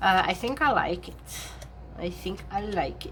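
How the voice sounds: A woman speaks at a medium pitch with a fairly bright tone.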